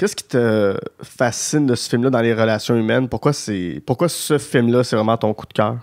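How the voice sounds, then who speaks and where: In a dry, close sound with no echo, a man with a plain, everyday voice talks at a moderate pace and medium pitch, with ordinary pitch variation and big swings in loudness. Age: 30s. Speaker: podcast host. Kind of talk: casual chat.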